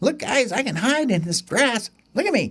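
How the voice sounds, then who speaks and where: A man puts on a character voice, pitched extremely high and delivered at a moderate pace. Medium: read story.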